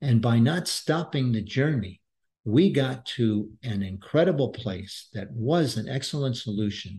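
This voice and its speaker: Against a quiet background, a man speaks at a fairly slow pace and medium pitch in a dark, mellow, somewhat breathy tone with lively intonation. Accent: American. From Brooklyn, New York. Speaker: business author and former executive. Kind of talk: podcast interview.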